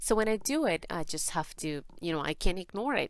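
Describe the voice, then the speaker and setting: A woman with a non-native accent at a fairly slow pace, in a very clean recording with a silent background. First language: Spanish. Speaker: tarot reader. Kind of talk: tarot reading. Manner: halting.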